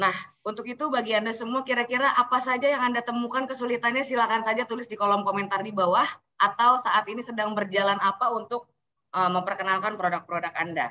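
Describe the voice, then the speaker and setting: A woman with a fairly high, bright, sharp voice talks at a very fast pace with ordinary pitch variation. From Indonesia. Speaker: event host. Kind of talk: hosting online event. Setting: video call. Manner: animated. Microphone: webcam.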